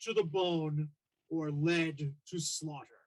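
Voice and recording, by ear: In a put-on character voice, a female-sounding voice rumbles at a very slow pace.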